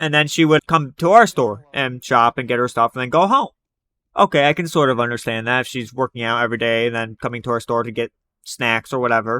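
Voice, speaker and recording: Dry and close with no echo, this very clean recording with a silent background has a man talking at a very fast pace at a medium pitch, his tone bright and sharp and his pitch variation ordinary. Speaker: storytime youtuber. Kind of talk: storytelling monologue. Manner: sometimes hard to understand.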